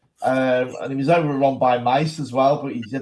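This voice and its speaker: An ordinary speaking voice moves at a fairly quick pace with fairly even intonation. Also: man. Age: 60s. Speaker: political activist. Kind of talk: casual chat.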